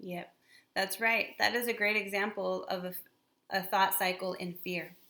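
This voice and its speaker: A woman speaks with a Spanish accent at a medium pitch. Her tone is bright and sharp, and her pace is fairly slow. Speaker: spiritual channel co-host. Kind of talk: casual explanatory talk.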